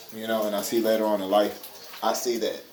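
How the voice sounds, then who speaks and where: Noticeable background noise and audible room echo accompany a man speaking at medium pitch. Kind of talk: casual monologue. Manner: fast-talking; halting, repeats words.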